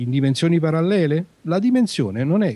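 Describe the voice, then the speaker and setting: A man's somewhat breathy, dark and mellow voice moves at a fairly quick pace through very wide pitch swings. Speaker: guest on sci-fi podcast, writer/professor. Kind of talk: casual chat, book discussion.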